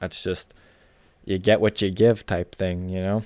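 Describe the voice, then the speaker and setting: A man speaks at a fairly slow pace with a very deep, low pitch and fairly even intonation. The recording is very clean with a silent background and a dry, close sound with no echo. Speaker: gaming commentary youtuber. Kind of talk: reaction commentary. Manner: stumbles and mumbles over words.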